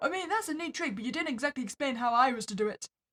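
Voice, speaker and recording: In a high-pitched put-on character voice, a woman talks at a very fast pace. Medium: solo performance. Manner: sarcastic.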